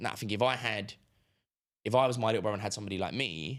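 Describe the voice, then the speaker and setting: On a very clean recording with a silent background, a man with a London accent speaks at a very fast pace and a fairly low pitch with ordinary pitch variation. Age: 20s. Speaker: entrepreneur. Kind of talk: casual chat.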